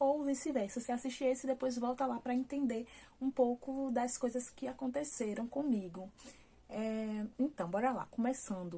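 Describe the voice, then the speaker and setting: A woman's high, dark, mellow voice with ordinary pitch variation. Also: moderate pace. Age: 20s. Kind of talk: casual talk to camera, personal birth story.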